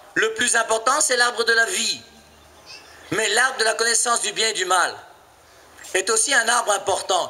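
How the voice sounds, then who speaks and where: A man's raised, projected voice at an extremely high pitch with ordinary pitch variation, at a moderate pace with long, frequent pauses, amid audible room echo and noticeable background noise. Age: 50s. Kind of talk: sermon. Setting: church. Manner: animated.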